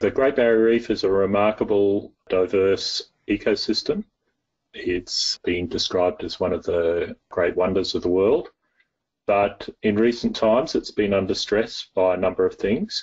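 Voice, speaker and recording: With an Australian accent, a man is talking. His pace is fairly slow. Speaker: soil and water scientist. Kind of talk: interview.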